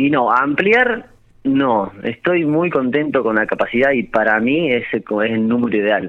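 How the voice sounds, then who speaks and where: An ordinary speaking voice belongs to this man, who talks at a fairly slow pace in a medium pitch with lively intonation and very even loudness. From Argentina, La Pampa (General Pico). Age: 30s. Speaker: restaurant owner. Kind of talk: radio interview.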